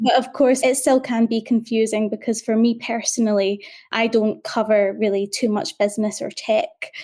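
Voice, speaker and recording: Woman with a Scottish accent, dark, mellow tone and fairly high pitch, fairly even intonation and hardly any pauses. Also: moderate pace. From Scotland, Glasgow. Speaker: journalist. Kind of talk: interview.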